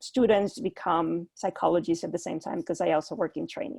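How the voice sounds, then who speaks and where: A woman with a Spanish accent talks at a fairly quick pace and fairly low pitch, with lively intonation and vocal fry, in a dry, close sound with no echo against a quiet background. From Puerto Rico. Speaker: clinical psychologist. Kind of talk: panel discussion. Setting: video call. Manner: halting.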